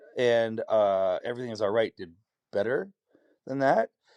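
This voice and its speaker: A man speaks with a Canadian accent at a moderate pace. His pitch varies in an ordinary way, and the sound is dry and close with no echo. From Canada, Hamilton, Ontario. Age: 40s. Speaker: singer-songwriter. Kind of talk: interview conversation.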